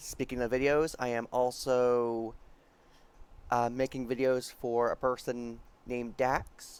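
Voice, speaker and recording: A man speaks quietly. His intonation is monotone and flat. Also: medium pitch for a man, fairly slow pace. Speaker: programming tutorial youtuber. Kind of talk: tutorial.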